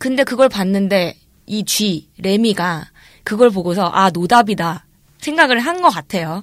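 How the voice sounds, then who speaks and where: Lively intonation marks a woman's fairly slow delivery. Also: medium pitch for a woman. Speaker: actress and podcast co-host. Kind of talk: casual chat. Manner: soft, gentle voice.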